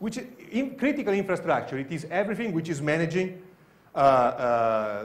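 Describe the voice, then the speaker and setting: With an Italian accent, a man speaks at a fairly high pitch, and room echo is audible. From Italy. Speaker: security researcher. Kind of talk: conference talk. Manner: halting.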